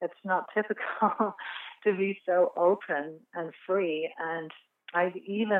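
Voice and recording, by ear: Slowly and with fairly even intonation, a woman speaks in a fairly low voice with an English accent. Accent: English (England).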